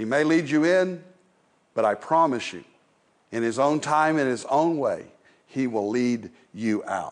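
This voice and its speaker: Fairly slow and broken by long, frequent pauses, a man's fairly high voice moves with lively intonation. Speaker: preacher. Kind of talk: sermon. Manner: reflective, conversational, unhurried.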